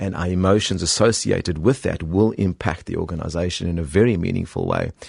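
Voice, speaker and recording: Against a quiet background, a man speaks with a South African accent at a moderate pace. His voice is very deep and low, with ordinary pitch variation. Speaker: executive coach and author. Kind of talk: radio interview. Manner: hesitant, with fillers.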